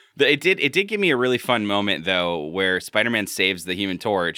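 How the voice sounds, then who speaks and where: Fairly low-pitched with ordinary pitch variation, the man has an unremarkable speaking voice. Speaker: podcast host. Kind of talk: casual chat.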